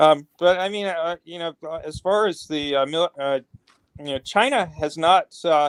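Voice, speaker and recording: A man at a moderate pace, with ordinary pitch variation and a normal speaking voice. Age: 60s. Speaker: interviewer. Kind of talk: casual chat.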